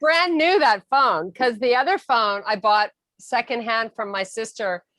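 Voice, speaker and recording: A woman's bright, sharp tone with an American accent, in a dry, close sound with no echo. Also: very clean recording, silent background. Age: 60s. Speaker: relative of an Olympic athlete. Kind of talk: casual chat.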